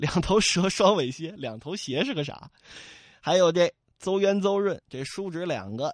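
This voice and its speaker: Against a quiet background, the talking proceeds at a moderate speed. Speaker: storyteller. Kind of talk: storytelling narration, classic novel told aloud with character voices. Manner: animated, playful and colloquial, with comic asides to the audience.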